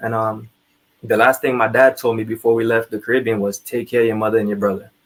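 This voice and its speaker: Speaking at a medium pitch, a man talks with a Trinidadian accent. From Trinidad (Laventille). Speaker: army veteran. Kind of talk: interview storytelling.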